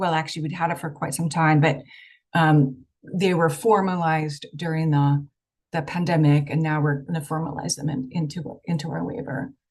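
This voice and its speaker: Fairly even in intonation and somewhat breathy, the voice keeps to a moderate pace. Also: woman. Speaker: state health program official presenting. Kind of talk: presentation at online meeting. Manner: hesitant with many fillers.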